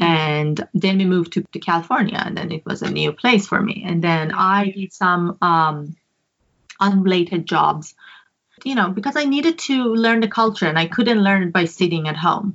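Ordinary pitch variation from a woman at medium pitch with a Persian accent. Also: moderate pace. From Iran. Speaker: photographer. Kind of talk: casual chat. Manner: halting.

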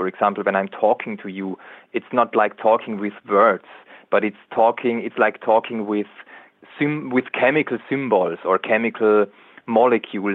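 With an Austrian accent, a man speaks in a medium-pitched voice at a moderate pace. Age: 30s. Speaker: biologist and author. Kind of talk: interview. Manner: halting.

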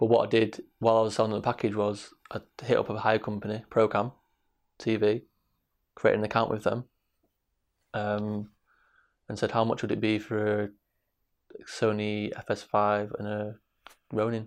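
The speaker has a Mancunian accent and a monotone, flat intonation at a moderate pace. Long, frequent pauses break up the speech, and the background is quiet. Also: man, fairly low pitch for a man. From Manchester, England. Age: 20s. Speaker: film director. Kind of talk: interview.

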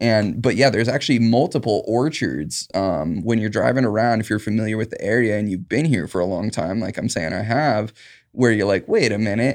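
This man talks with a West Coast accent at a fairly low pitch and a fairly quick pace. He hardly pauses, and the background is quiet. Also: ordinary pitch variation. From Southern Oregon, Rogue Valley. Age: 30s. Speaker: cannabis farm worker. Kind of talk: interview. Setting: studio.

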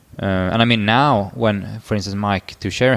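With a Swedish accent, a man talks at a fairly slow pace in a fairly low pitch, his intonation fairly even. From northern Sweden. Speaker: physiotherapist and powerlifting coach. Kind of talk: casual chat.

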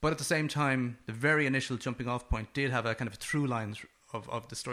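A man with a western Irish accent at medium pitch and a very fast pace, on a very clean recording with a silent background. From west of Ireland. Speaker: film director. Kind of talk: interview. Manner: repeats words, fillers.

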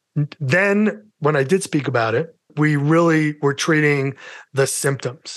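With a New York accent and a fairly high pitch, a man speaks at a fairly slow pace with ordinary pitch variation and very even loudness over a quiet background. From New York City. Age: 50s. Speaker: mental health advocate and podcaster. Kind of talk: casual interview chat, personal testimony.

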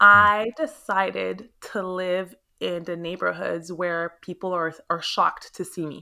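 A woman with an animated, bright and sharp tone speaks at a fairly slow pace in a medium pitch, captured in a very clean recording over a silent background. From Montreal, Quebec, Canada (Haitian parents). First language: French. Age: 30s. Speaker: realtor. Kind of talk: interview. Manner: animated, exuberant.

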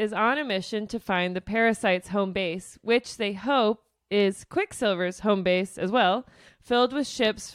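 Quiet background behind a natural reading voice of ordinary pitch variation

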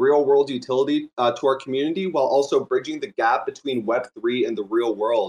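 With hardly any pauses, a man talks at a fairly quick pace in a fairly high pitch, an ordinary speaking voice. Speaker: project founder. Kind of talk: project pitch.

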